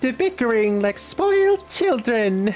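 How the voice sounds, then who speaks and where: A woman in a put-on character voice, fairly high-pitched and at a fairly slow pace, with clear background noise. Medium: fan dub. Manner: ends phrases with a cute verbal tic.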